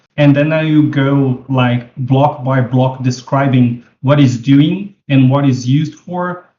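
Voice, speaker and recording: Speaking very slowly, a man with a non-native accent has a fairly high pitch. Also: hardly any pauses. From Brazil. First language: Portuguese. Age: 40s. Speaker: 3D web developer. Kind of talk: tutorial. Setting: video call. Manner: casual, halting with fillers.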